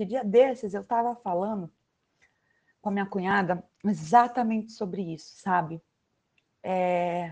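A woman's medium-pitched voice with ordinary pitch variation and long, frequent pauses. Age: 30s. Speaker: podcast host, parental educator. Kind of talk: casual chat. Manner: animated.

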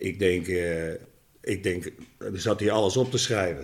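A man's voice over noticeable background noise. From Netherlands, Rotterdam. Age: 60s. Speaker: former footballer and coach. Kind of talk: casual chat.

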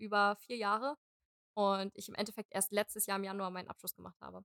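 A woman speaks at a very fast pace. Her pitch is medium, and the sound is dry and close with no echo. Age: 20s. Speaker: dancer. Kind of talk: casual chat.

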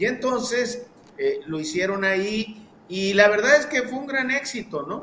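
An extremely high-pitched man's raised, projected voice, lively in intonation and fairly slow, with big swings in loudness and noticeable background noise. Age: 60s. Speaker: historian. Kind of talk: casual chat.

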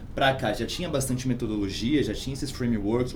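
Music plays in the background, and audible room echo fills the recording. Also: man. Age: 30s. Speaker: startup founder. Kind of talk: casual interview.

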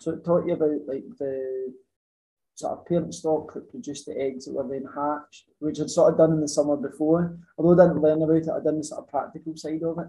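With a Scottish accent, a man talks at a very fast pace in a fairly high pitch, his tone dark and mellow and his intonation fairly even. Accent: Scottish (Ayrshire). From Scotland, Ayrshire. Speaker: farmer, dairy worker. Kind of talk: casual chat. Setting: in person.

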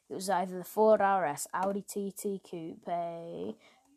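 Speaking with an English accent, a woman talks at a very slow pace with medium pitch and ordinary pitch variation. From England. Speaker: solo podcaster. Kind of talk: casual monologue. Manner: animated.

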